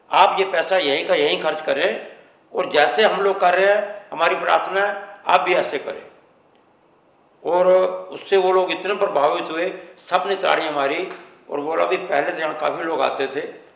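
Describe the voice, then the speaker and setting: Amid noticeable background noise and audible room echo, a man speaks at a high pitch with fairly even intonation. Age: 70s. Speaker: philanthropist, charity founder. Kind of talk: interview.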